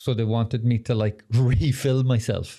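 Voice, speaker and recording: On a very clean recording with a silent background, a man with an Irish accent speaks at a fairly slow pace and medium pitch, his tone relaxed, dark and mellow, his intonation monotone and flat. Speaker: podcast host. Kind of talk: casual chat.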